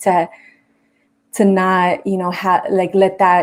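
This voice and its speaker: At a medium pitch and moderate pace, a woman talks in an unremarkable speaking voice. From Los Angeles, South Central. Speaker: talk show host. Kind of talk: interview. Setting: live stream.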